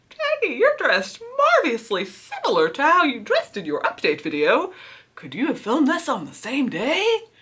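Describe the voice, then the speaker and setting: A put-on character voice from a woman, high-pitched, at a moderate pace. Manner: put-on fake voice.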